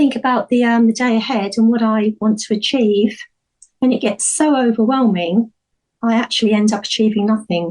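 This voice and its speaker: A woman with a normal speaking voice, fairly high in pitch, with ordinary pitch variation, very even loudness and a moderate pace. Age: 60s. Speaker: small business owner. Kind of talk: interview conversation.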